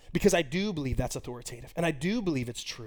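Over music in the background, a man with a high pitch speaks with lively intonation. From Texas. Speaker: college pastor. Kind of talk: sermon.

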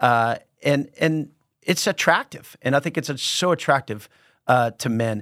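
This man has an ordinary speaking voice, fairly high in pitch, with ordinary pitch variation and a fairly slow pace. The recording is very clean, with a silent background and a dry, close sound with no echo. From Texas, San Antonio. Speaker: pastor. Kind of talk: casual chat.

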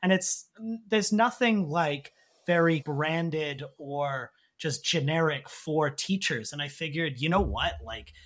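A man with a Canadian accent has an ordinary speaking voice, fairly high in pitch, with lively intonation and a fairly slow pace. The recording is very clean, with a silent background. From Canada. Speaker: English teacher and template creator. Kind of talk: casual interview.

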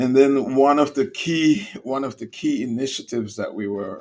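A man with a Caribbean accent at a fairly slow pace. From Caribbean (St. Kitts). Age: 70s. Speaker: business organization CEO. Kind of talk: interview.

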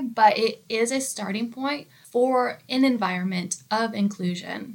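In a very clean recording with a silent background, a woman with an American accent has an unremarkable speaking voice, a fairly high pitch and ordinary pitch variation. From United States, small town. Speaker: workplace podcast co-host, employee engagement coordinator. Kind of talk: scripted educational podcast.

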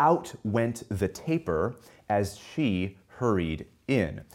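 An ordinary speaking voice on a very clean recording with a silent background. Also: man. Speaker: English professor. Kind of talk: lecture. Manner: formal.

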